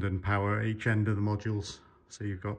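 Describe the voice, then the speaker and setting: A man speaks at a fairly low pitch with a somewhat breathy sound. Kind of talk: casual explanatory vlog commentary. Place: workshop. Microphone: phone near.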